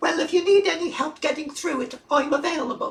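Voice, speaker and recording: Putting on a character voice, a woman talks at a fairly quick pace in a high pitch. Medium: audio drama. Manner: polite, friendly.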